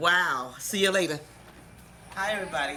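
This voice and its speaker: The tone is animated. The pace is moderate. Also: woman. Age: 60s. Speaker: cooking show host. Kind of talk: cooking tutorial.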